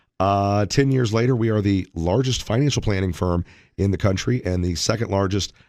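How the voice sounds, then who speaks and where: A man with a normal speaking voice talks at a fairly quick pace and a fairly low pitch, with ordinary pitch variation. The recording is very clean, its background silent. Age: 40s. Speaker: financial advisor. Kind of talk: radio talk show.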